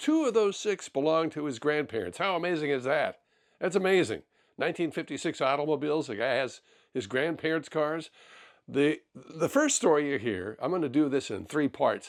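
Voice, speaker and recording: On a very clean recording with a silent background, a man with a plain, everyday voice talks at a moderate pace, his pitch fairly high and his intonation lively. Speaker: car collecting show host. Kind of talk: podcast introduction.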